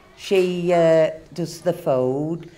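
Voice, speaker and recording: A woman with a northern English accent speaks at a very deep, low pitch with ordinary pitch variation amid noticeable background noise. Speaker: community centre volunteer. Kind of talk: interview.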